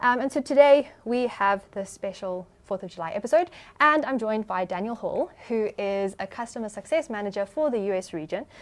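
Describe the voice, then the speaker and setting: Talking at a fairly quick pace with hardly any pauses, a woman with a South African accent uses lively intonation at a fairly high pitch. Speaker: podcast host. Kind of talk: podcast interview.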